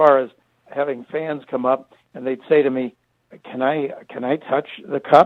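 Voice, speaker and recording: At a moderate pace, a man talks in a normal speaking voice, fairly high in pitch with ordinary pitch variation. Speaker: retired sports broadcaster. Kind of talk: interview answer. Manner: conversational, warm, reflective.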